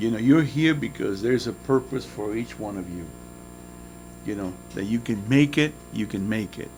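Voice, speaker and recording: A man's fairly low voice with a Spanish accent, at a moderate pace, over background music. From Nicaragua. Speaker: motivational guest speaker. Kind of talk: motivational talk to students.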